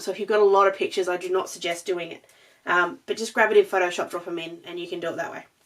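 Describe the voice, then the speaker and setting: In a raspy, put-on character voice, a woman speaks very fast at a medium pitch in an excited tone, with big swings in loudness. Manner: fast, excited.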